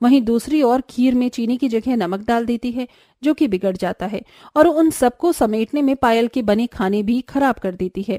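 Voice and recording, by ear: A woman's fairly high-pitched voice with a dark, mellow tone, ordinary pitch variation, a moderate pace, few pauses and a dry, close sound with no echo.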